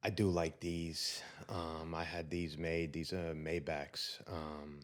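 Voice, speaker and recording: Very slow, monotone, flat speech with audible room echo. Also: man, very deep, low pitch for a man. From southern Italy, then New York (Queens, Long Island) from age 10. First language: Italian. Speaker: entrepreneur. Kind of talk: interview. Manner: frequent um fillers, hesitant.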